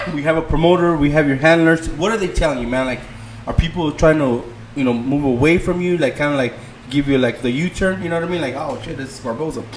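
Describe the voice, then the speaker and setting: Over noticeable background noise, a man talks at a very fast pace. His pitch is fairly high, with ordinary pitch variation. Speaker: boxing podcast co-host. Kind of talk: casual chat. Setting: live podcast stream.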